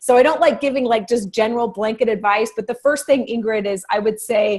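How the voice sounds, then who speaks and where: Over a quiet background, a woman with an ordinary speaking voice talks at a fairly quick pace, fairly high in pitch with ordinary pitch variation. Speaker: life coach. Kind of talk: online workshop Q&A.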